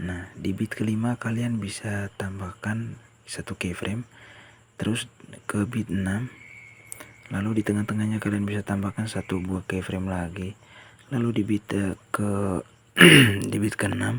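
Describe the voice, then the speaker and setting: A man's fairly low, monotone voice with flat intonation at a fairly slow pace, with long, frequent pauses and noticeable background noise. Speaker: video editing tutorial creator. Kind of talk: tutorial. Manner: casual.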